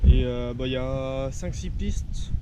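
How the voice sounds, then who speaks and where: Noticeable background noise behind a man speaking. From France. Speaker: mountain biker. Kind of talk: casual talk to camera.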